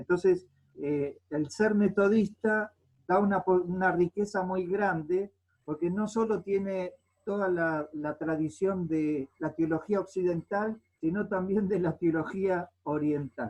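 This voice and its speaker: A man with a high pitch speaks at a very slow pace. His intonation is fairly even. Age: 60s. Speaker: pastor and theologian. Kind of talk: panel talk. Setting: video call. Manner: hesitant, many fillers.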